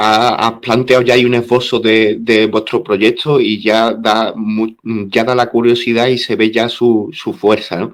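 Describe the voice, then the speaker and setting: His voice sits at a medium pitch. The man delivers his words at a fairly slow pace. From southern Spain. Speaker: interviewer. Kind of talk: interview.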